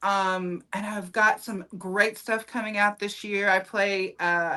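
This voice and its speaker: A woman's bright, sharp tone with a Southern US accent, on a very clean recording with a silent background. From US South. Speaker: comedian and actress. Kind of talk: casual chat. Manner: animated.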